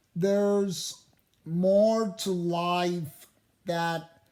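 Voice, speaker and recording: A rumbling, put-on character voice sits at a middle pitch. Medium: read story. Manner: grumbling.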